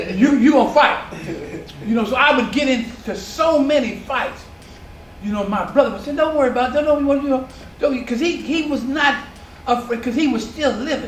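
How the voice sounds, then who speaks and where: Amid noticeable background noise and audible room echo, a man with an extremely high pitch and ordinary pitch variation speaks with long, frequent pauses. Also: moderate pace. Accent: American. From San Diego, California. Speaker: community elder recounting neighborhood history. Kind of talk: oral history interview. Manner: halting.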